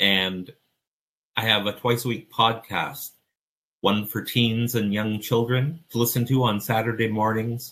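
Moderate in pace, this is a plain, everyday voice. It keeps an even tempo throughout. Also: man. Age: 50s. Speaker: life coach. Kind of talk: interview conversation.

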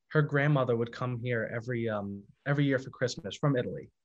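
With an American accent, a man talks at a medium pitch and a moderate pace. His intonation is fairly even, and the background is quiet. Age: 20s. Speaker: singer. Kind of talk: casual chat.

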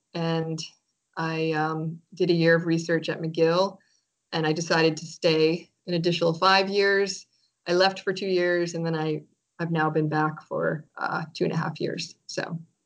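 The speaker has a Maine accent and a monotone, flat delivery. The pace is fairly slow. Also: woman, fairly low pitch for a woman. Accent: Maine New England American. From Maine, US. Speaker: author and writing teacher. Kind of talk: interview conversation.

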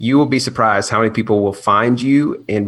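This man has an American accent and an unremarkable speaking voice, delivered at a moderate pace with fairly even intonation. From US South. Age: 30s. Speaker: nurse anesthetist and YouTuber. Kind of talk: casual chat.

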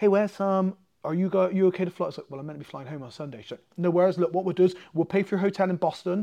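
A man with an English accent talks at a very fast pace in a high, dark and mellow voice with ordinary pitch variation. The background is quiet. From England. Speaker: martial arts coach and MMA fighter. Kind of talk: casual chat. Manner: talkative.

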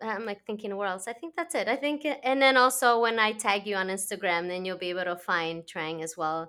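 In a Spanish accent, a woman speaks at a moderate pace and medium pitch, her tone bright and sharp and her intonation lively, on a very clean recording with a silent background. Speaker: podcast host. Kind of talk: podcast interview; guided meditation.

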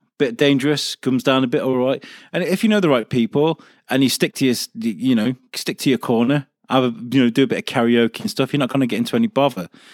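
A man with an English accent, medium pitch and ordinary pitch variation at a fairly quick pace, on a very clean recording with a silent background and a dry, close sound with no echo. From North Wales, Wrexham. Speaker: podcast network owner. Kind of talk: casual chat.

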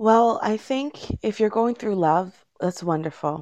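A woman speaks at a fairly slow pace, her intonation lively. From Jamaica until age 9, then Toronto, Canada. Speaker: teacher and poet. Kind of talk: interview. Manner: hesitant, frequent fillers.

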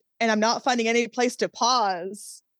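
A woman's normal speaking voice, fairly high in pitch, at a fairly quick pace, dry and close with no echo against a quiet background. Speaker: fantasy novelist. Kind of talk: casual interview.

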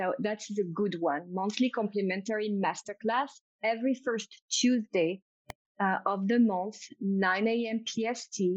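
A woman with a French accent talks at a fairly slow pace in an enthusiastic, animated tone. Her pitch is medium, and the sound is dry and close with no echo. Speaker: intuitive business coach. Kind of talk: interview conversation.

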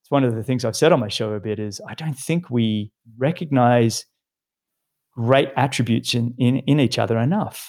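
Speaking in an Australian accent, a man with a medium-pitched voice keeps a moderate pace, his pitch varying in an ordinary way while his loudness swings widely. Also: very clean recording, silent background. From Australia, Sydney. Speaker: retired pro triathlete and podcast host. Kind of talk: casual interview chat.

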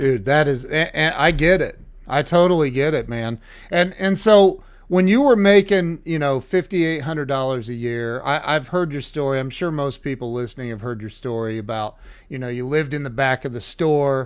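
A man speaks at a moderate pace in an ordinary speaking voice, his fairly high pitch moving with lively intonation. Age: 50s. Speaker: podcast host. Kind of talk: interview. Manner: excitable, repetitive.

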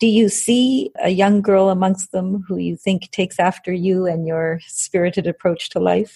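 A woman's medium-pitched, somewhat breathy voice with a dark, mellow tone, at a moderate pace with hardly any pauses, fairly even intonation, and a dry, close sound with no echo. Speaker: podcast host. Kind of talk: interview, scripted intro.

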